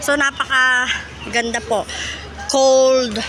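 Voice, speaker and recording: The voice is raised and projected. Background noise is noticeable. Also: woman. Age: old. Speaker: vlogger. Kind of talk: walking tour vlog. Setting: outdoors in a park. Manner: animated.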